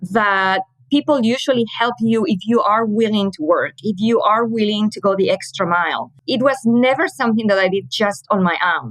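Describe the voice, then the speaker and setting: A woman with a Spanish accent, fairly high in pitch, with lively intonation at a moderate pace. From Spain, Madrid. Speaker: communications manager. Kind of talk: interview.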